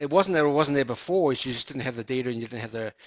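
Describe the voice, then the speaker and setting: A man of medium pitch speaks with a slight New Zealand accent. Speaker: business executive. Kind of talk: interview.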